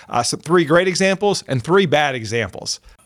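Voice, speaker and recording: Recorded very cleanly against a silent background, a man with an unremarkable speaking voice talks at a fairly quick pace. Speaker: podcast host. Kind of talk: interview with scripted intro.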